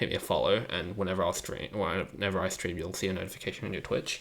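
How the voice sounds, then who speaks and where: In a very clean recording with a silent background, a soft-spoken man with a fairly low pitch talks at a fairly quick pace with fairly even intonation. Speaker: streamer. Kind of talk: live coding stream. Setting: home computer setup, live stream.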